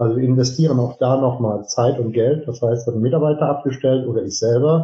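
Speaking at a moderate pace with hardly any pauses, a man has a somewhat breathy, medium-pitched voice. His intonation stays fairly even. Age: 50s. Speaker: business owner, heating and plumbing company. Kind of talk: interview.

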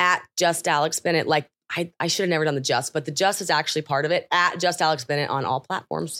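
Her pitch is very deep and low, with fairly even intonation and a bright, sharp tone. She talks very fast, with hardly any pauses. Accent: American. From Oklahoma. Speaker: podcast host and content creator. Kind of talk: interview.

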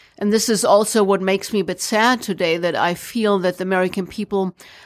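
Speaking with a German accent, a woman keeps a moderate pace and a medium pitch. Her intonation is fairly even, in a very clean recording with a silent background. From Germany. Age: 40s. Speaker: entrepreneur and former ranger. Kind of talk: interview. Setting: radio studio.

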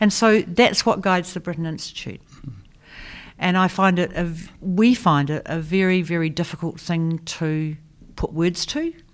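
On a very clean recording with a silent background, a woman with a New Zealand accent speaks at a moderate pace and a fairly low pitch, with ordinary pitch variation. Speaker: design educator and institute founder. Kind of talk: interview.

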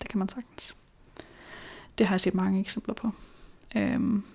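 A woman speaks at a fairly slow pace with long, frequent pauses. Her tone is dark and mellow, and somewhat breathy. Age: 20s. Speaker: person living with schizophrenia, author. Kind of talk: interview testimony. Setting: home kitchen. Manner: hesitant.

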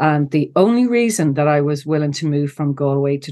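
A woman speaks with an Ulster accent in a very deep, low voice. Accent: Irish (Cavan). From Ireland, County Cavan. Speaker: psychologist and coach. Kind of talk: interview conversation. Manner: halting.

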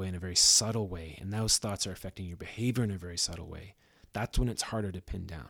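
Speaking at a very fast pace with fairly even intonation, a man with a fairly low pitch and a Canadian accent is heard on a very clean recording with a silent background. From Ontario, Canada. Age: 30s. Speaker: musician and new father. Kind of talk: casual interview chat. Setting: studio.

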